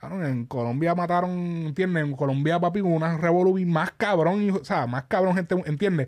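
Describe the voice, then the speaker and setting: A man with a Puerto Rican accent speaks at high pitch with ordinary pitch variation. His pace is moderate and the background quiet. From Puerto Rico. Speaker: podcast host. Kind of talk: casual chat. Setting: studio. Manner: animated.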